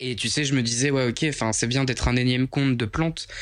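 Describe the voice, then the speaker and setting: A man talks at a fairly quick pace and a medium pitch. He has a plain, everyday voice. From Picardy, northern France. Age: 20s. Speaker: plant influencer. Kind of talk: casual chat.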